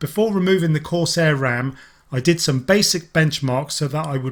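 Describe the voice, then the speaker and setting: A man with a fairly high pitch sounds somewhat breathy, with ordinary pitch variation. The recording is very clean, with a silent background. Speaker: tech reviewer. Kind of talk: tutorial.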